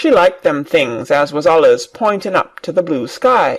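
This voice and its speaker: This put-on character voice is raspy, pitched in the middle range, and moves at a moderate pace. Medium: read story.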